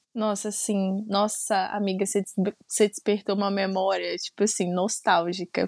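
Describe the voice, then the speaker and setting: Speaking in a Minas Gerais accent, a woman at medium pitch holds a monotone, flat intonation in a dry, close sound with no echo. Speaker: podcast co-host. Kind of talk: casual chat.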